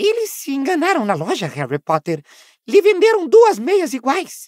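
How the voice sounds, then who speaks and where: A put-on character voice, high and squeaky, with an anxious tone. It moves at a moderate pace. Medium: read story. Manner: anxious, fawning, talks of himself in third person.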